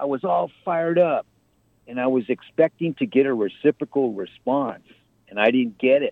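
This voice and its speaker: A man speaks at a moderate pace in an ordinary speaking voice, his medium pitch carried by lively intonation. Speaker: caller. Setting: phone call.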